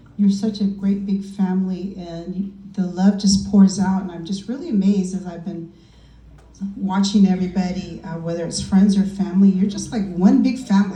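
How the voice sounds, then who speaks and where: In a room with audible echo, a woman of medium pitch speaks at a moderate pace in a monotone, flat intonation, with big swings in loudness. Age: 60s. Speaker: party guest giving a tribute. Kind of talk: birthday tribute speech.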